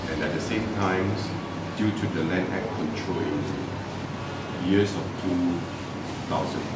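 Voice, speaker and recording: With music in the background and audible room echo, a man talks at a very slow pace. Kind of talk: interview answer. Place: cafe. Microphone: camera far.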